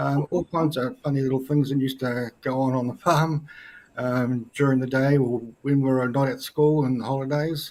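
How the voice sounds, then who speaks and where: With a New Zealand accent, a man speaks at a moderate pace in a medium pitch with monotone, flat intonation. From New Zealand, North Island. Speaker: guest. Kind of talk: interview.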